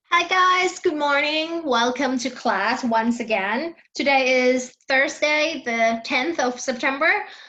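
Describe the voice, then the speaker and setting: With a Thai accent, a woman speaks in a raised, projected voice at a high pitch and a very slow pace, her loudness very even, with audible room echo. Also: ordinary pitch variation. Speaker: English teacher. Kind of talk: online class lecture. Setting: online class with shared screen.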